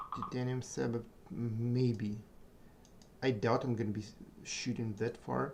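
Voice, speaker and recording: A man's somewhat breathy voice moves in a monotone, flat intonation, broken by long, frequent pauses. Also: medium pitch for a man. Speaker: gaming streamer. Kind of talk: live gameplay commentary. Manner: halting.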